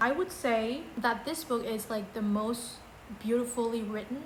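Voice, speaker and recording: The intonation stays fairly even. Audible room echo and noticeable background noise are present. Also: woman. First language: not English. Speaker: book vlogger. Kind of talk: casual book ranking video.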